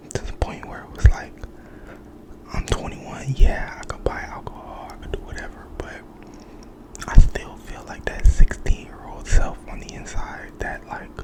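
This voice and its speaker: Someone whispers over noticeable background noise. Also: moderate pace. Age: 20s. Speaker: ASMR creator. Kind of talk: ASMR casual talk. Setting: at home. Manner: soft-spoken.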